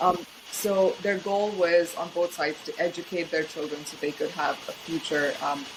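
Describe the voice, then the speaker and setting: Over noticeable background noise, a woman with a fairly low pitch speaks at a moderate pace with fairly even intonation. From India. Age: 30s. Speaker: UN candidate and auditor. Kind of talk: interview. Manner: many fillers.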